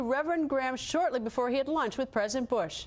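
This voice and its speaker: At a very fast pace, a woman speaks at a high pitch with ordinary pitch variation. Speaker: TV news host. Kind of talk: news show intro.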